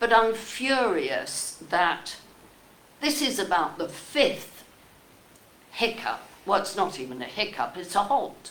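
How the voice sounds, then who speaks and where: A woman talks at a fairly slow pace, her pitch swinging very widely. Room echo is audible around her voice. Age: 80s+. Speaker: member of the public. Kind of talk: public comment at a meeting. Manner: animated.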